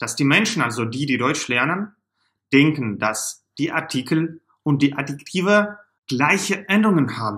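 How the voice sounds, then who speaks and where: The background is quiet as a man speaks. His tone is bright and sharp, and his pace fairly slow. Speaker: German teacher. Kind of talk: tutorial. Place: home room.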